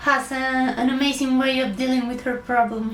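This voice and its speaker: Against noticeable background noise and audible room echo, a woman with a high pitch speaks in a monotone, flat intonation at a moderate pace. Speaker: illustrator. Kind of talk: award acceptance speech. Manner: halting, with many fillers.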